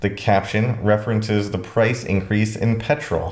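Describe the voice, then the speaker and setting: Somewhat breathy and fairly low-pitched, a man with an American accent speaks at a moderate pace amid audible room echo. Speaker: educational YouTuber. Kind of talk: scripted commentary video. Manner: conversational, casual asides.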